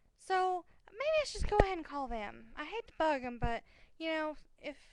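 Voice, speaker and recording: A woman speaks loudly with lively intonation. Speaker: vlogger. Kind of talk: casual chat. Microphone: sitting far back from the microphone.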